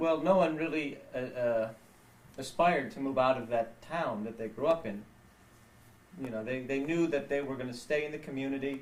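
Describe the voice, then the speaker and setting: A man's fairly high-pitched voice with ordinary pitch variation at a moderate pace, over noticeable background noise. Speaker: grandson filming family video. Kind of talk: casual family conversation.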